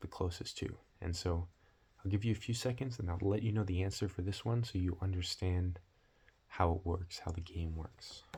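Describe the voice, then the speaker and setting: A man with a very deep, low pitch speaks at a moderate pace in a relaxed, somewhat breathy tone with fairly even intonation. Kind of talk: ASMR roleplay, casual soft-spoken test administrator. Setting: close-mic ASMR recording. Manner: soft-spoken, whispery, relaxed.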